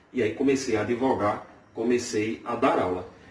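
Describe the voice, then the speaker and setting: A man speaks against noticeable background noise. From Brazil, Paraíba sertão (Vale do Piancó). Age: 20s. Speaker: amateur cook, law professor. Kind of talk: cooking tutorial and audition video.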